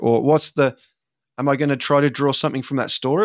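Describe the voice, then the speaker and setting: Speech comes at a very fast pace with an English accent. The recording is very clean with a silent background, and the sound is dry and close with no echo. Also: man. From England. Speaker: facilitator.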